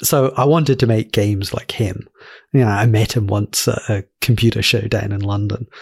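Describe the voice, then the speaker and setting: The sound is dry and close, with no echo. A man with a fairly low, somewhat breathy voice speaks with ordinary pitch variation. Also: moderate pace. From Glasgow, Scotland. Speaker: indie app developer and podcast guest. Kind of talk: casual interview chat.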